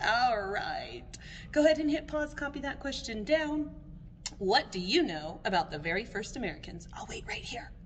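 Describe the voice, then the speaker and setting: A woman talks at a fairly quick pace in a high voice with very wide pitch swings. Background noise is noticeable. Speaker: elementary school teacher. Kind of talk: recorded lesson for young students. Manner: animated.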